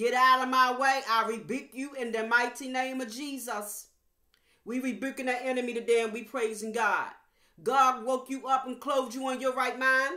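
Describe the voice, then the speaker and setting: A woman with a high pitch and a bright, sharp tone speaks in a raised, projected voice at a moderate pace with monotone, flat intonation, her words carrying audible room echo against a quiet background. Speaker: evangelist preacher. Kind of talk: fervent prayer; sermon. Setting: online video to viewers. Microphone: webcam.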